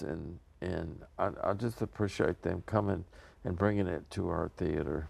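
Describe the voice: A man's low-pitched voice with vocal fry, a slightly mellow tone, ordinary pitch variation and a moderate pace.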